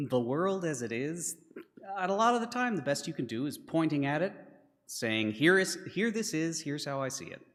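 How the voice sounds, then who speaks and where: A man's voice at a moderate pace, with very wide pitch swings and long, frequent pauses. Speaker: congregation member giving reflection. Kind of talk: spoken reflection in a church service. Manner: unscripted, with fillers.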